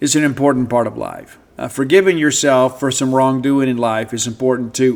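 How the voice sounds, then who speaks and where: A man with a Mississippi accent speaks at a moderate pace and a medium pitch. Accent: US Southern (Mississippi). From South Mississippi. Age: 50s. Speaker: sports radio host. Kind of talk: casual podcast monologue.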